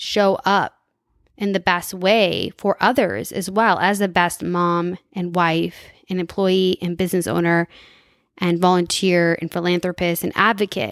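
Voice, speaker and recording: In an unremarkable speaking voice, a woman speaks at a medium pitch and a fairly slow pace, with fairly even intonation. The recording is very clean with a silent background, the sound dry and close with no echo. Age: 30s. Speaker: podcast host and entrepreneur. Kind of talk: casual monologue.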